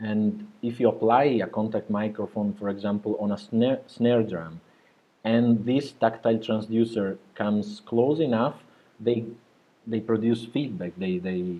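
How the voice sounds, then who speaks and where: Here a man speaks with a non-native accent. His pace is fairly slow. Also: medium pitch for a man, fairly even intonation. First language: not English. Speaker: composer. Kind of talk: interview. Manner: halting, many repetitions.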